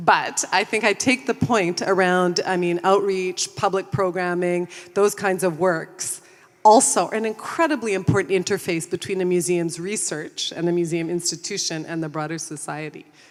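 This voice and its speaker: With a Canadian accent, a woman speaks in a plain, everyday voice at medium pitch, a moderate pace and ordinary pitch variation. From Canada. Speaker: museum consultant. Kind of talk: panel discussion.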